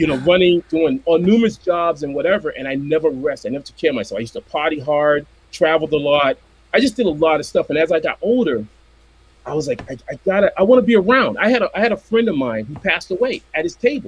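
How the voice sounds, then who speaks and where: A high-pitched man speaks very fast with an American accent. His pitch swings very widely and his loudness rises and falls sharply. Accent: Boston accent, comes out only when angry. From Boston, Massachusetts. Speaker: commercial illustrator and comic artist. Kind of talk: casual chat.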